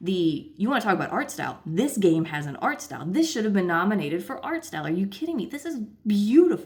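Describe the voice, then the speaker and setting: This woman's voice is somewhat breathy. Her pitch swings very widely. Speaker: gaming video creator. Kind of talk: casual vlog commentary. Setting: hotel room.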